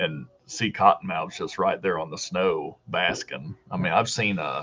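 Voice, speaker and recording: Here a man speaks with a Deep South accent. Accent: sounds like from the deep south. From Southern Illinois. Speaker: hiking youtuber. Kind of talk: live stream chat reading comments. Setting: live video stream from home.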